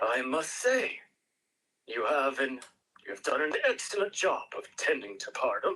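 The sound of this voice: A man's put-on character voice, medium in pitch with big pitch swings and a bright, sharp tone, at a fairly slow pace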